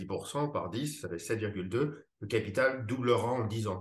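Somewhat breathy, a man talks with ordinary pitch variation and audible room echo. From France, Paris. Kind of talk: casual interview conversation. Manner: hesitant, many fillers and repetitions.

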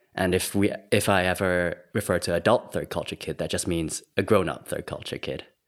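The speech moves at a fairly quick pace with fairly even intonation in a very clean recording with a silent background. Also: man, very deep, low pitch for a man, hardly any pauses. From Singapore, raised in Thailand. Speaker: art therapist. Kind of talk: interview conversation.

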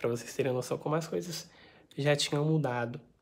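A somewhat breathy woman's voice with very deep, low pitch. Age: 20s. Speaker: book vlogger. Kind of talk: book review vlog. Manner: casual, chatty.

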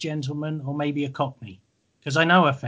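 A man speaks with an English accent and ordinary pitch variation. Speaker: podcast host, fan interviewer. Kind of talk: interview, casual chat. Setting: video call from home garage studio. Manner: halting, many ums.

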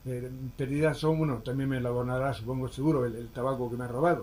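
Medium-pitched male speech, fairly even in intonation, with audible room echo. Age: 70s. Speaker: shop owner. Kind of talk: interview. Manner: halting, repetitive.

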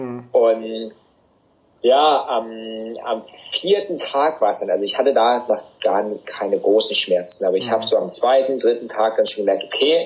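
A man talking at a moderate pace. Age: 30s. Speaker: bikepacking racer. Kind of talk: casual chat.

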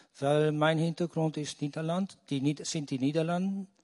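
A fairly high male voice with a Dutch accent, dry and close with no echo. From Netherlands. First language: Dutch (speaking German). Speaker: audience member. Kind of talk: audience question.

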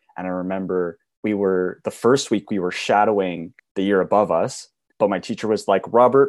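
A man with a plain, everyday voice, fairly low pitch and fairly even intonation. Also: quiet background. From Alberta, Canada. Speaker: broadcasting graduate. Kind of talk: casual chat.

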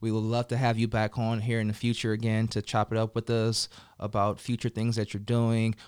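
A man speaks at a fairly quick pace in a West Coast accent, his medium pitch held in a flat monotone. The sound is dry and close, with no echo. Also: very even loudness. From Colorado and California, US. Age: 30s. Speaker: podcast host. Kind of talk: casual interview chat. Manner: casual, laughing.

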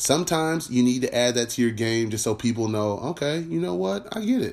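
A man with an ordinary speaking voice delivers his words fairly quickly, his intonation lively. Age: 30s. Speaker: podcast host. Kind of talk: casual monologue. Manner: conversational, filler-heavy.

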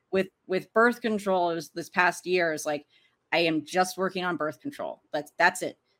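In an American accent, a woman with a plain, everyday voice talks at a moderate pace and fairly low pitch with ordinary pitch variation. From US East Coast, Arlington, Virginia. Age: 30s. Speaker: filmmaker. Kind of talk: interview. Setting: video call.

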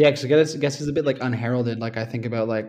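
This voice belongs to a man. He speaks with a Canadian accent. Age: 20s. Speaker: professional cyclist. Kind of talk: casual chat.

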